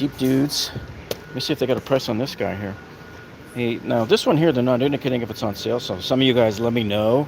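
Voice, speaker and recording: Over noticeable background noise, a man speaks at a very fast pace with a medium pitch and ordinary pitch variation. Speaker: YouTube tool reviewer. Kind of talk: live-stream store walkthrough. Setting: inside a home improvement store. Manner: casual, chatty.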